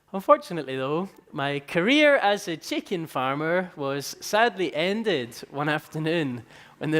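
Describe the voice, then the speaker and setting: A man with an Edinburgh accent and a fairly high pitch talks at a moderate pace with ordinary pitch variation. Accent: Scottish (Edinburgh). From Scotland, Edinburgh. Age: 20s. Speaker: entrepreneur, company founder. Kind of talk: conference talk.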